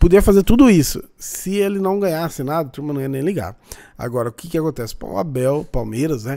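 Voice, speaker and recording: Against a quiet background, a man with a dark, mellow tone speaks fairly quickly at a fairly high pitch, with lively intonation and big swings in loudness. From Brazil. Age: 30s. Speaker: football YouTuber. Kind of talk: casual react commentary. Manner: animated. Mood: mocking, opinionated. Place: home room.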